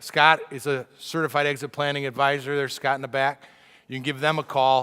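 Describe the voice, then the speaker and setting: Loud and animated, a man speaks at a fairly quick pace in a medium pitch with a bright, sharp tone, in a very clean recording with a silent background. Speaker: business speaker and author. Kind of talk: keynote talk to business owners. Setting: stage with audience and microphone.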